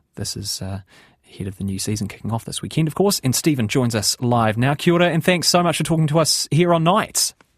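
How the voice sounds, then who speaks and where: A somewhat breathy man at a very fast pace, with a fairly high pitch and very wide pitch swings. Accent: New Zealand. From New Zealand. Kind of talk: radio interview. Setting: studio.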